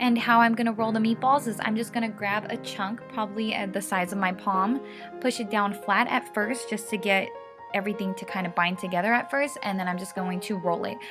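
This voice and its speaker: Music plays in the background as a woman talks at a fairly quick pace. Her pitch varies an ordinary amount. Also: medium pitch for a woman. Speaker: lifestyle vlogger. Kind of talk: cooking tutorial voiceover. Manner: casual, friendly.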